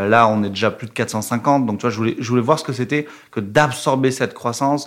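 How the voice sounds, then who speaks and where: A man talks fairly quickly at a medium pitch, showing ordinary pitch variation. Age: 20s. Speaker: revenue operations manager at a fintech. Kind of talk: casual interview. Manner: hesitant, many fillers.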